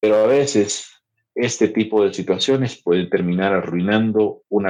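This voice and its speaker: Fairly slow speech from a man in a quiet background. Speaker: podcast host. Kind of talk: educational podcast chat. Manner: conversational, with filler hesitations.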